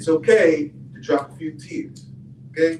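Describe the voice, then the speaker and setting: A man with a fairly high voice talks through noticeable noise in the background. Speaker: boxing coach and youth mentor. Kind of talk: community event speech. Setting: room with audience, no microphone. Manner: loud, projecting without microphone.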